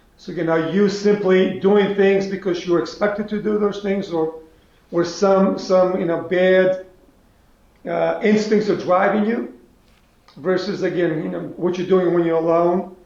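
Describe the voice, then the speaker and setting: A man with a high pitch speaks in a flat monotone at a moderate pace, with audible room echo. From North Macedonia (Skopje). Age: 70s. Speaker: business executive. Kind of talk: interview. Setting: video call.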